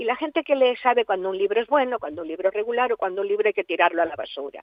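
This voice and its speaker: Here a woman is speaking. Her pitch is fairly high. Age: 80s+. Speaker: writer. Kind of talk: interview. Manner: animated.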